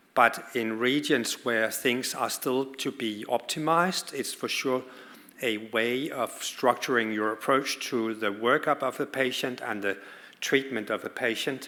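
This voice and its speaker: A man with a Danish accent, medium in pitch, bright and sharp in tone, at a fairly slow pace with fairly even intonation. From Denmark. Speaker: pediatric oncologist. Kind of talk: conference talk.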